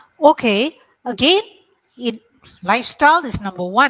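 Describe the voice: A woman speaks with big pitch swings and a fairly bright tone. The sound is dry and close, with no echo.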